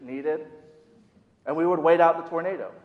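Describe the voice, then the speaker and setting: A man with an American accent at a very fast pace, amid audible room echo. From US Midwest, Minnesota. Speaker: youth director preaching. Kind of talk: sermon. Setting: church.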